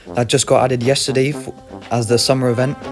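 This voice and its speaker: A man speaks quietly at medium pitch. Music plays in the background. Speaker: gaming video creator. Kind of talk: game guide narration.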